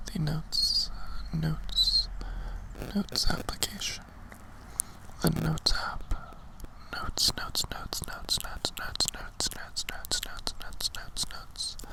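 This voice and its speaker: A man whispers at a moderate pace, leaving long, frequent pauses. Noticeable noise sits in the background. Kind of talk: ASMR whisper ramble to camera. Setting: outdoors, recorded lo-fi. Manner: whispered, soft-spoken, repetitive trigger words.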